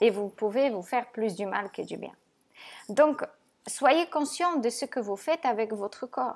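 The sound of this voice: A woman's fairly high pitch with lively intonation. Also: fairly slow pace.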